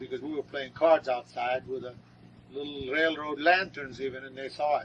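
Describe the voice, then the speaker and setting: Over noticeable background noise, the speaker keeps a moderate pace. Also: man. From northern Lebanon. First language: Arabic. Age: 60s. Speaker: grandfather interviewee. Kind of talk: oral history interview. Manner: halting.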